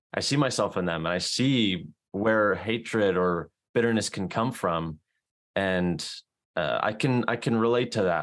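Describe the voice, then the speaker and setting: This is a man with an ordinary speaking voice, pitched fairly low. He talks fairly slowly in a very clean recording with a silent background. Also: ordinary pitch variation. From South Carolina. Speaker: podcast host and book club organizer. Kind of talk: casual chat.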